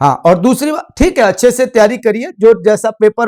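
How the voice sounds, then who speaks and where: The intonation is lively. The recording is very clean with a silent background, and the sound is dry and close with no echo. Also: man. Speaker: political science teacher. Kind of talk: lecture. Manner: direct, plain-spoken.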